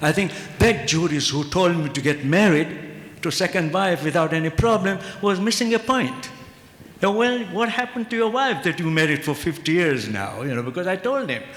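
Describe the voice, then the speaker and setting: With noticeable background noise and audible room echo, a man speaks at a moderate pace in a high pitch, his voice swinging very widely up and down. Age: 70s. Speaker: Islamic ethics professor. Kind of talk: conference panel discussion.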